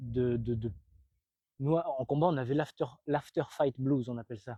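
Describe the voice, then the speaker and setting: A man's dark, mellow voice sits at a medium pitch. He speaks at a moderate pace in a dry, close sound with no echo. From France. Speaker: retired MMA fighter and coach. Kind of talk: motivational talk to a sports team. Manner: casual, with many hesitations.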